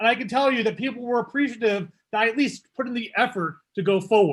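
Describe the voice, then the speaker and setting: A man's high-pitched voice against a quiet background. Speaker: public speaking presenter; public presenter. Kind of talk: workshop talk. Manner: fast. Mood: warm, reassuring.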